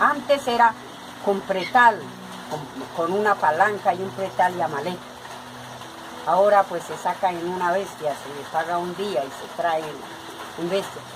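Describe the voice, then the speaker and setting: Over background music, a woman with a medium pitch speaks at a fairly slow pace, with ordinary pitch variation, long and frequent pauses, and big swings in loudness. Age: 60s. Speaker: potter. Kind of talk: documentary interview.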